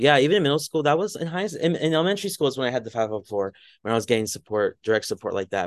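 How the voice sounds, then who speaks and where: Talking at a very fast pace with hardly any pauses, a man with an American accent swings very widely in pitch, the sound dry and close with no echo over a quiet background. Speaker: mental health advocate. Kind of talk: casual interview.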